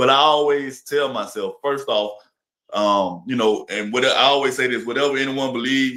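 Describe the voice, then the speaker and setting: At a moderate pace, a man with an Alabama accent speaks in a bright, sharp tone at medium pitch with ordinary pitch variation. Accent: Southern US (Alabama). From Alabama, US South. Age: 30s. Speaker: influencer and entertainer. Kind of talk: interview.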